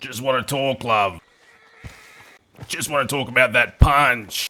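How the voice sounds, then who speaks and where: Using a put-on character voice, a man speaks with a raspy, medium-pitched sound at a fairly slow pace. His loudness swings widely. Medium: game stream. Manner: cheeky, provocative.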